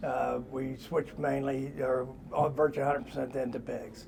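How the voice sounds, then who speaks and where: A man with a Midwestern US accent talks at a moderate pace and medium pitch, with fairly even intonation and audible room echo. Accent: US Midwest. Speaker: pig farmer. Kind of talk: interview. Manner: halting.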